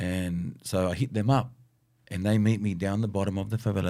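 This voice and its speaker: Someone with an Australian accent speaks at a moderate pace in a dark, mellow tone with ordinary pitch variation. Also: man. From Southwest Sydney, Australia. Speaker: graffiti artist and muralist. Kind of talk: casual chat. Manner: animated.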